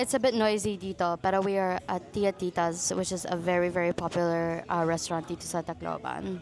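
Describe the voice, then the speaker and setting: Music plays in the background as a woman speaks at a fairly quick pace. Her voice is fairly low, with fairly even intonation. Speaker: vlogger. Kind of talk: casual vlog talk to camera.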